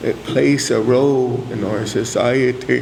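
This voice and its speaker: A man talks at a very slow pace in a Cheyenne accent, his pitch medium and his intonation fairly even. Audible room echo and noticeable background noise surround him. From Cheyenne community, US Plains. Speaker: elder speaker at church convention. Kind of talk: spiritual talk. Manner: hesitant fillers.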